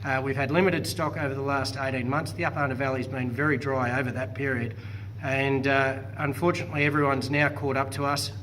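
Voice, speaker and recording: A man speaks at a very fast pace, his pitch in the medium range. His intonation stays fairly even over noticeable background noise. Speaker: property auctioneer and real estate agent. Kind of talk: post-auction report to camera.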